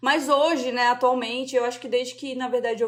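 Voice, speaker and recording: Noticeable background noise sits behind a woman speaking at a fairly quick pace. Her pitch is high, with fairly even intonation. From southern Brazil, Joinville, Santa Catarina. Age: 30s. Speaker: illustrator. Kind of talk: podcast interview.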